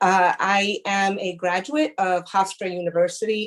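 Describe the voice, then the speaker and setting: In a Spanish accent, a woman speaks at a medium pitch. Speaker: prosecutor. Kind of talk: presentation.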